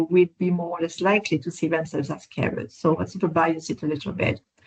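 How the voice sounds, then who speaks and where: A speaker with a non-native accent. The pace is fairly quick. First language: not English. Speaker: professor, researcher. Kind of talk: webinar interview. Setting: online webinar. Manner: halting, many fillers and restarts.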